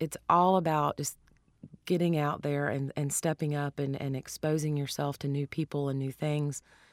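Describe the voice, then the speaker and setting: With a Southern US accent, a woman with a very deep, low pitch speaks in a flat monotone at a moderate pace, the sound dry and close with no echo. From US South. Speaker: cookbook author and chef. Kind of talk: interview.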